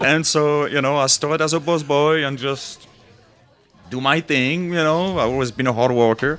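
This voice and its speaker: In a French accent, the speaker keeps a moderate pace and fairly even intonation amid noticeable background noise. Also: man, fairly high pitch for a man. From France. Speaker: sommelier. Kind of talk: casual chat.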